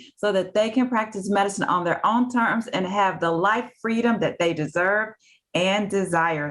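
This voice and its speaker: A woman's fairly high voice in a Southern US accent, with lively intonation and a moderate pace. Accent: real Southern. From US South (Tuscaloosa, Alabama). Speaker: physician and career coach. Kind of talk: interview.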